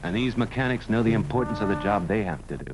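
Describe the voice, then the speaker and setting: A man speaks over clear music in the background. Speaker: film narrator. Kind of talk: documentary commentary. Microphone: old recording.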